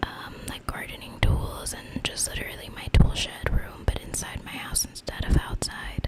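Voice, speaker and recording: A whispering woman with big swings in loudness, hardly any pauses and noticeable background noise. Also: moderate pace. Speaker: ASMR content creator. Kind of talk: ASMR gameplay showcase. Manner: soft-spoken, whispered.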